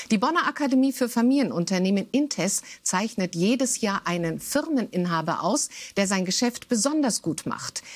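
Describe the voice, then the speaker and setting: Her voice is fairly high and somewhat breathy, with lively intonation. The woman keeps a moderate pace. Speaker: news presenter. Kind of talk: news reading. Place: studio. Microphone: lapel.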